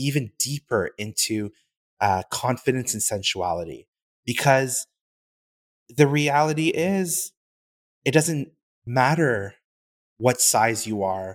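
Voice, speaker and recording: In a very clean recording with a silent background and a dry, close sound with no echo, a man speaks at a fairly slow pace with medium pitch and lively intonation. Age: 30s. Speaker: fashion brand founder. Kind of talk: interview.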